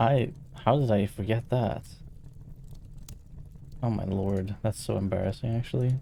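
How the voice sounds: Speaking at a fairly slow pace, a man uses a fairly low pitch and fairly even intonation, his dark, mellow tone touched with vocal fry.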